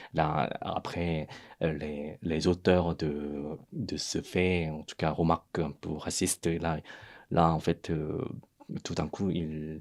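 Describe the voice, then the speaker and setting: Monotone, flat intonation from a man with a Korean accent and a very deep, low pitch, on a very clean recording with a silent background. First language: Korean (speaking French). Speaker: podcast co-host. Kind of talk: casual discussion. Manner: halting, many fillers.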